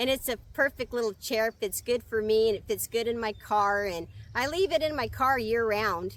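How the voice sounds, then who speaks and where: In an ordinary speaking voice, a woman talks at a moderate pace with hardly any pauses, her fairly high pitch showing ordinary pitch variation. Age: 60s. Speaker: van-life nomad. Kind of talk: casual talk to camera.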